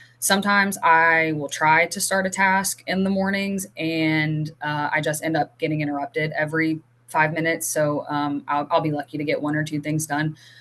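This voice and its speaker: A woman speaks with a very deep, low pitch and fairly even intonation. She hardly pauses at all. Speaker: academic advisor. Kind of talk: conference presentation Q&A. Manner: fast.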